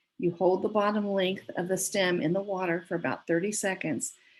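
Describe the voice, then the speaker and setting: An unremarkable speaking voice from a woman at medium pitch, with fairly even intonation and a moderate pace. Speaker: gardening presenter. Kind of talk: presentation.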